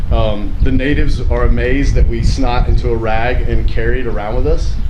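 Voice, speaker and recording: A man's voice carries audible room echo, with noticeable noise in the background. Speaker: teacher of middle school health program. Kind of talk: casual public talk. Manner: loud; halting.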